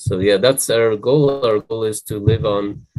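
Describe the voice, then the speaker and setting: This man has a fairly low pitch and a dark, mellow tone. His intonation stays fairly even. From Israel. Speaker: ecovillage founder. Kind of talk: interview.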